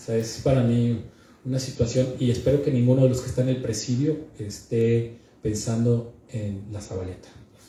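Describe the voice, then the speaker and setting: A man speaks in a northern Mexican accent at a moderate pace. Audible room echo surrounds his voice. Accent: northern Mexican, blunt delivery. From northern Mexico. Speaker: book presenter. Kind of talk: book presentation speech. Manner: blunt, forceful.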